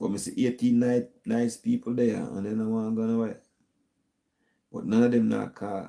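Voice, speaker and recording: With a Jamaican accent, a man is speaking. His pace is moderate. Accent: Jamaican patois-inflected English. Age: 70s. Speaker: YouTube talk show host. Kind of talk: casual live-stream sign-off.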